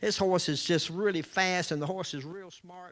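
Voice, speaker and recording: In a very clean recording with a silent background, a man with a Southern US accent speaks fairly quickly in a high, bright, sharp voice. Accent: Southern US (Georgia). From US South, Georgia (Columbus). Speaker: storyteller, salesman. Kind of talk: storytelling to a live audience. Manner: animated, gestures with hands.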